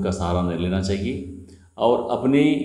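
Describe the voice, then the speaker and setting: A man's fairly low pitch and ordinary pitch variation at a fairly slow pace, with audible room echo. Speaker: storyteller. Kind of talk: moral storytelling. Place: home room. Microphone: phone near.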